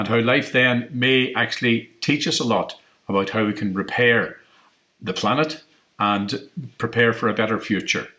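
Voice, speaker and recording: Here a man has a plain, everyday voice at a medium pitch. He talks at a moderate pace with fairly even intonation. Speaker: interviewer. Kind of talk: interview introduction.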